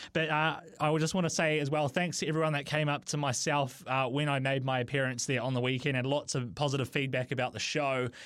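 A man with a New Zealand accent and a fairly high pitch speaks very fast with hardly any pauses, very even loudness and fairly even intonation on a very clean recording with a silent background. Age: 20s. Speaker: radio host. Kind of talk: radio show.

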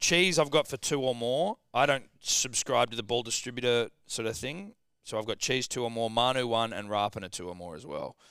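A man with an Australian accent, a bright, sharp tone, lively intonation and big swings in loudness, at a fairly quick pace with hardly any pauses, in a very clean recording with a silent background. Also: medium pitch for a man. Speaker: sports betting podcast host. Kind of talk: casual banter, joking. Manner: joking, fast, swearing.

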